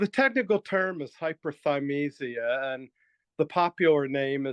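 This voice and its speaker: A man talks at a moderate pace in an ordinary speaking voice. His pitch is fairly high, with ordinary variation. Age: 60s. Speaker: writer and guest with superior memory. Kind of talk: interview.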